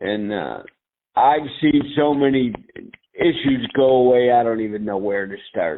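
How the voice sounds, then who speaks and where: Speaking at a fairly slow pace, a man keeps a medium pitch with ordinary variation. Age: 60s. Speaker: product user with multiple sclerosis. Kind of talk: testimony. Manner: halting.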